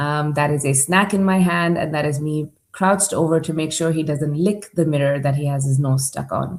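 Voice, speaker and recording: With ordinary variation in her pitch, a woman talks in a very deep, low register. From Dubai, UAE (Indian family). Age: 40s. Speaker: startup accelerator leader and conference speaker. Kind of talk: conference presentation.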